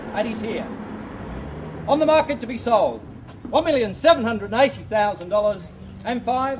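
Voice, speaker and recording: Over noticeable background noise, a man with an extremely high pitch and ordinary pitch variation speaks with long, frequent pauses. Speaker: real estate auctioneer. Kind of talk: live auction bidding call. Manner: fast, rhythmic, persuasive.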